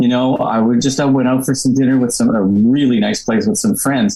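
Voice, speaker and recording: Music plays in the background as a man speaks at a medium pitch with lively intonation. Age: 70s. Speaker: comedy club founder. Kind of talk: casual chat.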